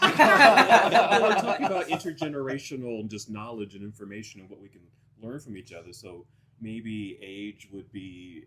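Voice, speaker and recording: A man with an unremarkable speaking voice talks at a medium pitch, his intonation lively and his loudness swinging widely. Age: 50s. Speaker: podcast host. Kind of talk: casual chat.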